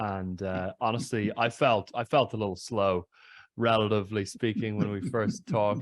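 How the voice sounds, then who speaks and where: A man talks at a moderate pace, his pitch fairly low and his intonation fairly even. He has an ordinary speaking voice. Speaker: podcast interviewer. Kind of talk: interview question.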